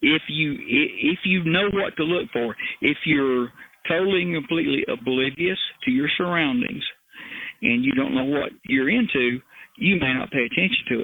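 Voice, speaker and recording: In an American accent, a man with a fairly high pitch and a plain, everyday voice talks at a moderate pace with lively intonation. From Appalachian foothills, US. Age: 60s. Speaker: retired criminal investigator and helicopter pilot. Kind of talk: interview.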